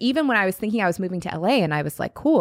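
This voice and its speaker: A woman's medium-pitched voice with an American accent, dry and close with no echo, in a very clean recording with a silent background. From US Pacific Northwest, Seattle. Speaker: podcast host and former personal trainer. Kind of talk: interview.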